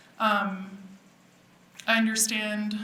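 A woman's medium-pitched voice carries audible room echo along with noticeable background noise. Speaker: public commenter at town meeting. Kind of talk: public comment testimony.

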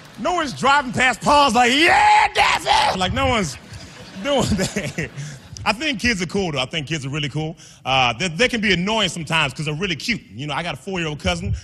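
A man with a high pitch talks in a raised, projected voice at a fairly quick pace, his pitch swinging very widely. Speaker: stand-up comedian. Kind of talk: stand-up comedy set. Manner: high-energy. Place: stage. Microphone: handheld.

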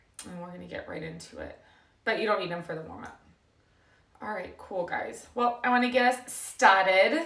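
A woman's voice at a moderate pace, with audible room echo and a quiet background. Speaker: fitness instructor. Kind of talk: live class intro chat. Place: home room. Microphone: camera far.

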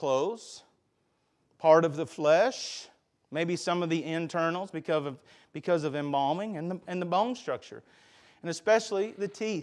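Against a quiet background, a man with a Southern US accent speaks at a moderate pace, with long, frequent pauses. His pitch is high, with ordinary variation. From US South. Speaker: pastor; preacher. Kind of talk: sermon. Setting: church. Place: church.

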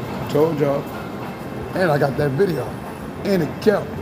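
Over background music, a man talks with ordinary pitch variation. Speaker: street vlogger. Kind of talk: casual street conversation. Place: station. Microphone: phone near.

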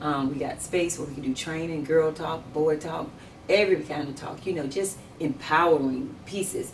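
Very deep and low in pitch, a woman speaks at a moderate pace. There is light background noise. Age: 50s. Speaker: sheriff candidate; candidate. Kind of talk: interview. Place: office.

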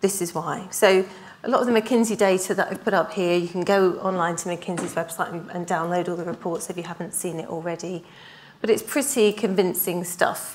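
The woman's pitch shows ordinary variation. She keeps a fairly quick pace. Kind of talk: conference presentation. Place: hall.

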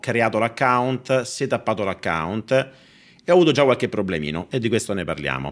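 Vocal fry colors a man's voice at a fairly quick pace. His pitch swings very widely. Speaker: finance streamer. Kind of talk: live stream product review chat. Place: home room. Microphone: studio mic.

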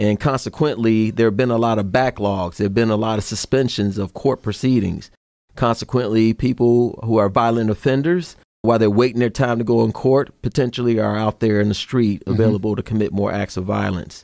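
A man with an American accent speaks in a plain, everyday voice at medium pitch, with fairly even intonation and a fairly quick pace, in a dry, close sound with no echo. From Chicago, South Side. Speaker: FBI executive and army veteran. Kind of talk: interview.

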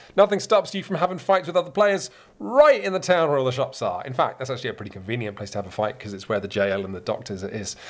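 A man with an English accent, very wide pitch swings and vocal fry. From England. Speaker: board game reviewer. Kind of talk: casual explanatory presentation; tutorial. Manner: hesitant with fillers. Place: home room.

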